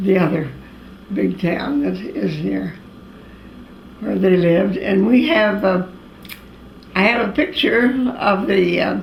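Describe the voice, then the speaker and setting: A woman with an American accent at a very slow pace, long, frequent pauses, and audible room echo. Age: 80s+. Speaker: elderly woman recalling family history. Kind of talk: oral history interview. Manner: halting, many fillers.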